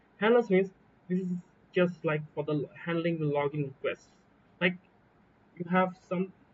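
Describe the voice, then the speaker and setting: A man with a Bangladeshi accent and a high voice, fairly even intonation, a moderate pace and long, frequent pauses. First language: Bengali. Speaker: software developer. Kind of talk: coding tutorial walkthrough. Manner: casual, hesitant with fillers.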